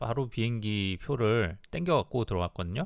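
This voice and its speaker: The recording is very clean with nothing in the background. A man speaks at a moderate pace. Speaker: travel YouTuber. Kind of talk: casual monologue. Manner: halting.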